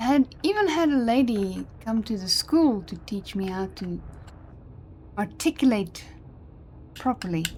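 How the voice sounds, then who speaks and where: Amid noticeable background noise, a woman with a fairly high pitch talks at a fairly slow pace with long, frequent pauses. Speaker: gaming streamer. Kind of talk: casual live-stream chat.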